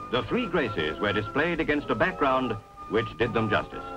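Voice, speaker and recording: A man's voice with very wide pitch swings, music in the background. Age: 1957 recording. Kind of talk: newsreel narration.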